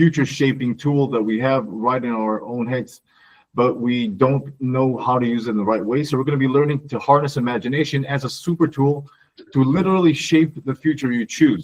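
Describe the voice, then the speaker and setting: The man's voice sits at a middle pitch and varies in the usual way. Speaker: mentor and trainer. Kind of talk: online workshop presentation. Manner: fast.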